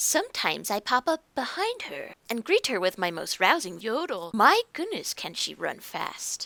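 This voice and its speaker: The female-sounding voice is a put-on character voice at a high pitch for a woman. Its pace is moderate. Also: hardly any pauses. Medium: game stream.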